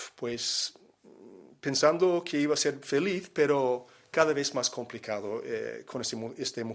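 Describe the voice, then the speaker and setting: In a very clean recording with a silent background, a man talks at a fairly slow pace. His fairly high voice has lively intonation. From Miami, Florida, USA. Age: 60s. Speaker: missionary. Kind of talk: personal testimony. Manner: hesitant, many fillers.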